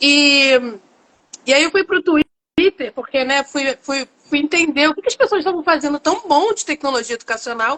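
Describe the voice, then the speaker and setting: The pace is moderate. A woman's high-pitched voice carries lively intonation. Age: 50s. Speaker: educator and innovation manager. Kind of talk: live interview. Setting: online live stream. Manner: hesitant fillers, repetitions.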